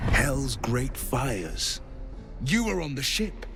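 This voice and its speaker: A man's put-on character voice at a fairly slow pace, with loud music in the background. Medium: machinima. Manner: earnest, heroic.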